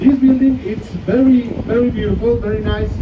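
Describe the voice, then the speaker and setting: Noticeable noise sits in the background. Against it, a man talks at a moderate speed. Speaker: tour guide. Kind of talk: tour guide narration. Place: bus. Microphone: pa.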